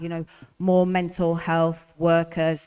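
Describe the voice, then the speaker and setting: At a fairly slow pace, a woman speaks with a fairly low pitch in a dry, close sound with no echo. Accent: northern English. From northern England. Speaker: election candidate. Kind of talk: hustings panel answer.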